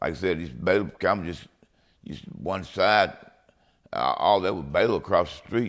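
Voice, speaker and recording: A man's very deep, low voice with vocal fry, a fairly quick pace and ordinary pitch variation, in a very clean recording with a silent background. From Texas, Waco. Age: 60s. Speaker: local resident interviewee. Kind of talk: interview reminiscence. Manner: casual conversational.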